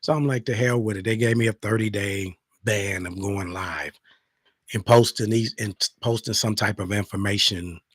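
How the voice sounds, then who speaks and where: A man speaks at a moderate pace in a fairly low, somewhat breathy voice. His intonation stays fairly even, and the sound is dry and close with no echo. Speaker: talk show host. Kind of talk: casual monologue.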